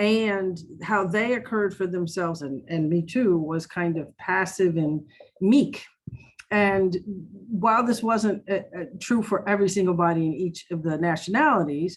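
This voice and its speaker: Medium-pitched woman's voice in an American accent, ordinary pitch variation, moderate pace. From US. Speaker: diversity trainer. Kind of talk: personal testimony. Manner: loud; halting.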